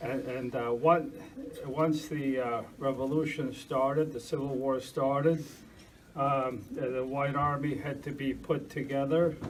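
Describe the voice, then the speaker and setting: A man talks at a fairly slow pace with monotone, flat intonation and a fairly high pitch. Audible room echo and noticeable background noise fill the recording. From Argentina, Russian family, moved to US 1960. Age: 60s. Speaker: lecturer on historical investigation. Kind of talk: lecture. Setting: church hall with audience. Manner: halting, many fillers.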